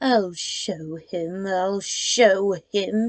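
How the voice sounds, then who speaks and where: Using a put-on character voice, a woman speaks at a medium pitch with fairly even intonation. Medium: read story. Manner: spirited, easily stung.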